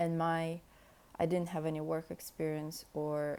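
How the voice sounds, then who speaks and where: A woman with a Russian accent speaks in a very deep, low voice, dark and mellow in tone, with monotone, flat intonation. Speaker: podcast host. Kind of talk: casual monologue. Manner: unscripted, hesitant.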